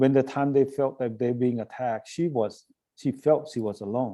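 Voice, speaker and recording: At a moderate pace and medium pitch, a man with a dark, mellow tone speaks with ordinary pitch variation in a very clean recording with a silent background. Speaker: nonprofit director giving a talk. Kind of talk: presentation to a club. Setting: club meeting. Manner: hesitant with fillers; voice a little shaky.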